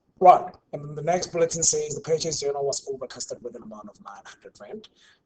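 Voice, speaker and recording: Talking at a very fast pace, a man uses a fairly high-pitched voice with ordinary pitch variation. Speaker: university tutor. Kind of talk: online tutorial. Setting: online class.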